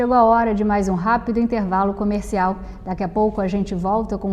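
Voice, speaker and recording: A woman at a medium pitch with ordinary pitch variation and a moderate pace, against noticeable background noise. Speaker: TV interviewer. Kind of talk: TV interview.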